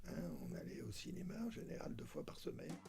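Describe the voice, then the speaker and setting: The room adds an audible echo. In it, a man talks at a moderate speed. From southern France, Toulon. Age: 70s. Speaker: retired doctor and film enthusiast. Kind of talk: interview testimony. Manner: hesitant, many fillers.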